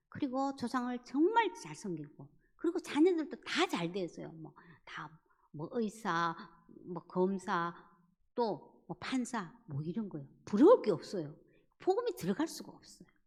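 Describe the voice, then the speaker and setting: Somewhat breathy and fairly high in pitch, a woman speaks at a fairly slow pace with very wide pitch swings and big swings in loudness, in a very clean recording with a silent background. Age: 70s. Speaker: church evangelism speaker. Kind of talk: church evangelism lecture.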